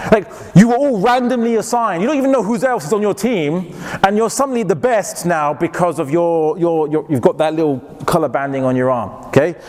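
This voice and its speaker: With a British accent, the speaker moves at a fairly quick pace with very wide pitch swings. Noticeable background noise is present. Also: man, high pitch for a man. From England. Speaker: Islamic lecturer. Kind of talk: lecture.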